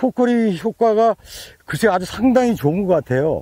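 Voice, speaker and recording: A man's dark, mellow tone with lively intonation at a moderate pace, dry with no echo over a quiet background. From South Korea. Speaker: farmer. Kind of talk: testimonial interview. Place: farm. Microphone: lapel.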